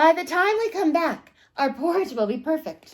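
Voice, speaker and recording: Extremely high-pitched put-on character voice from a female speaker. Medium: read story.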